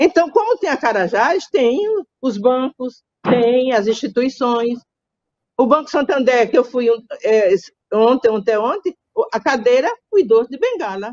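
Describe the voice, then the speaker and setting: A woman's high-pitched voice, fairly slow, with lively intonation and long, frequent pauses. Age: 70s. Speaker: gerontologist and social worker. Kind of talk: interview.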